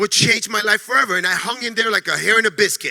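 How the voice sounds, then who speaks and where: In a New York accent, a raised, projected voice speaks in an animated tone over noticeable background noise. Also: man, dry, close sound with no echo. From New York City. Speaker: network marketing distributor. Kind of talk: motivational training talk. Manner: fast.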